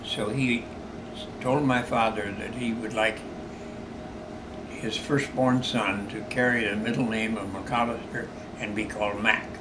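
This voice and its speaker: With an American accent, the speaker talks in a flat monotone at a fairly slow pace, leaving long, frequent pauses amid audible room echo and noticeable background noise. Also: man, medium pitch for a man. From US Midwest, Iowa. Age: 90s. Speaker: war veteran. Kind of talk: interview.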